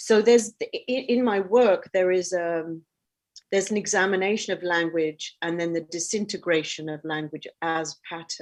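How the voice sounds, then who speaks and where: A woman talks at a moderate pace and a medium pitch, with ordinary pitch variation. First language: Arabic. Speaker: artist. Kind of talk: interview about own artwork. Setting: online event. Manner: halting, many fillers.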